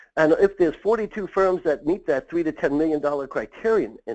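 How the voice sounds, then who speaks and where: Against a quiet background, a man with an American accent talks at a fairly quick pace and fairly high pitch, his intonation lively. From Long Island, New York. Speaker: M&A consultant for accounting firms. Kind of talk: webinar presentation. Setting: online webinar. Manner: fast.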